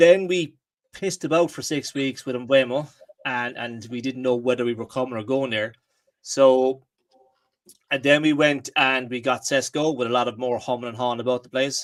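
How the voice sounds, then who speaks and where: A man speaks with fairly even intonation in an Irish accent. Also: medium pitch for a man, moderate pace. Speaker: football podcast host. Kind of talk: casual chat. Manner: hesitant, lots of fillers.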